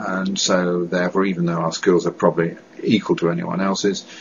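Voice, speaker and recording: Over noticeable background noise, a man with a British accent speaks at a very deep, low pitch. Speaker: director of a stammering association. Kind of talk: testimony. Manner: halting, with repetitions and blocks.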